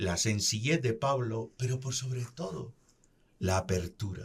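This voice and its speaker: A man's medium-pitched, somewhat breathy voice at a very slow pace, with very wide pitch swings. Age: 60s. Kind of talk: religious reflection.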